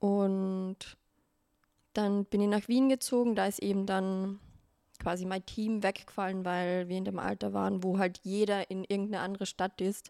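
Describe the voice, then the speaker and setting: A woman's medium-pitched, monotone, flat delivery at a moderate pace, on a very clean recording with a silent background and a dry, close sound with no echo. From Austria, Carinthia. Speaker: make-up artist and content creator. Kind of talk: casual interview chat.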